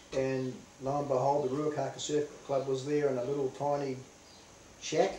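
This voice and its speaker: At a moderate pace, a man with a New Zealand accent talks in a monotone, flat intonation at a fairly high pitch, with audible room echo. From New Zealand, Northland. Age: 60s. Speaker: veteran surfer. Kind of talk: interview.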